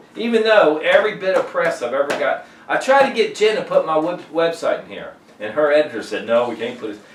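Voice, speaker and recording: A man speaks fairly quickly, his loudness swinging widely. Noticeable background noise and audible room echo are in the recording. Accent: American. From Virginia, Richmond. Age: 60s. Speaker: singer-songwriter. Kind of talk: documentary interview. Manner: halting.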